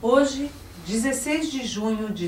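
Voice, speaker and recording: A woman speaks with ordinary pitch variation. Background noise is noticeable. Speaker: sports memory centre coordinator, interviewer. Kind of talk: oral history interview questions. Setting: studio.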